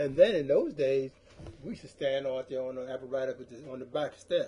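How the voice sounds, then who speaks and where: With a medium pitch and a dark, mellow tone, a man sounds somewhat breathy. He talks at a fairly quick pace with fairly even intonation. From US Northeast, South Philadelphia. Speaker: retired firefighter. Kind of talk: oral history interview. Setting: at home.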